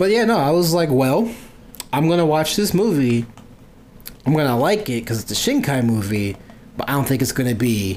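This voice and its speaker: A man with a fairly high pitch talks at a fairly quick pace, broken by long, frequent pauses. His tone is animated, with very wide pitch swings. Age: 20s. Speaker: podcast host. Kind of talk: casual chat.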